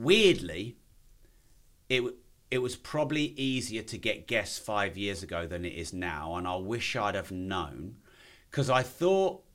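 A man with an English accent at a medium pitch and with very wide pitch swings, on a very clean recording with a silent background. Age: 40s. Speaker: entrepreneur and podcaster. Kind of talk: casual interview chat.

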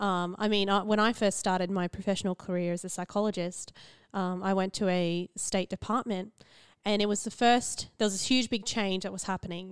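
In a very clean recording with a silent background, a woman with an Australian accent speaks at a fairly quick pace and medium pitch in a monotone, flat intonation. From central Queensland, Australia. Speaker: podcast co-host, psychologist. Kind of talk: casual chat.

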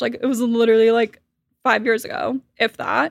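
Speaking with an American accent, a woman keeps a moderate pace and fairly even intonation. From US South, Miami, Florida. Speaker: PR and brand strategist. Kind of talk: casual interview chat. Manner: frequent filler words, relaxed.

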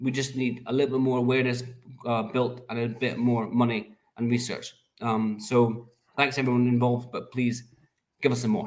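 With a Scottish accent, a man speaks at a moderate pace. His medium-pitched voice stays monotone, with flat intonation. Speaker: charity fundraiser. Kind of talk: casual chat. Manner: halting.

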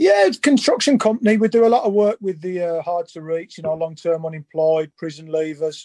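A man with a Birmingham accent talks fairly quickly with hardly any pauses. His voice is high-pitched yet dark and mellow in tone, with ordinary pitch variation. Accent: Birmingham (Brummie). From England, Birmingham. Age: 40s. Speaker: former footballer. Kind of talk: casual chat.

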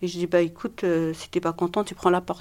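A woman speaks at a fairly low pitch. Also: very clean recording, silent background. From Algeria. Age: 50s. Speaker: domestic violence survivor. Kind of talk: testimony. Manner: halting.

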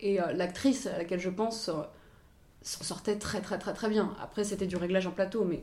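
A woman speaks at a medium pitch and a moderate pace with fairly even intonation, leaving long, frequent pauses, and the room echo is audible. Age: 20s. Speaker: assistant director and actors' language coach. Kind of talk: interview. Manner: hesitant, many fillers.

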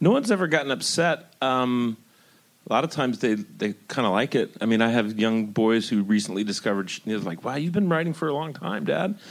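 In a plain, everyday voice, a man of medium pitch talks at a fairly quick pace with lively intonation, recorded very cleanly against a silent background. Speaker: TV writer and producer. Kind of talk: panel discussion.

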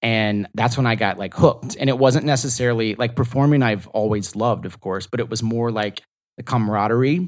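A man with an unremarkable speaking voice sits at a medium pitch with ordinary pitch variation. He moves at a fairly quick pace. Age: 30s. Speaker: actor and comedian. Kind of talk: casual chat. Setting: studio.

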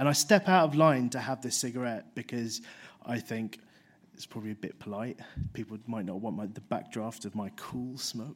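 This man has a London accent. He talks at a moderate pace. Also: very clean recording, silent background. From London, Harrow. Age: 30s. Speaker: author. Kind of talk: storytelling talk.

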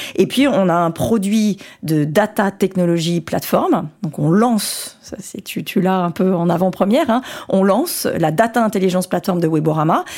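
A normal speaking voice moves along at a moderate pace. The pitch shifts in an ordinary way. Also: woman, medium pitch for a woman. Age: 40s. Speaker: tech company executive. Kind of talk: interview. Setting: office.

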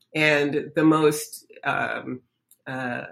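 A woman speaks with an American accent at a very deep, low pitch. Her pitch variation is ordinary. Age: 70s. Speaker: professor. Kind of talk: interview.

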